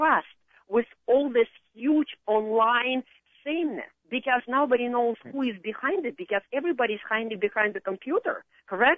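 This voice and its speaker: At a moderate pace, a woman speaks with a high pitch and ordinary pitch variation. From Russia. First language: Russian. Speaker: marketing consultant. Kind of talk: radio interview. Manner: halting.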